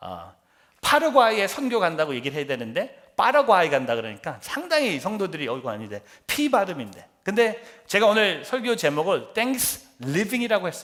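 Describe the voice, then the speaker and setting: The voice is a man's, high in pitch. It swings very widely in pitch. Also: moderate pace. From Korea, then US from sixth grade. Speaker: pastor. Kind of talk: sermon.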